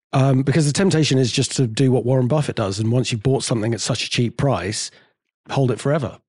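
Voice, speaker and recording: Against a quiet background, a man speaks very fast at a medium pitch, somewhat breathy, with ordinary pitch variation and very even loudness. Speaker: podcast host. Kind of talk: interview.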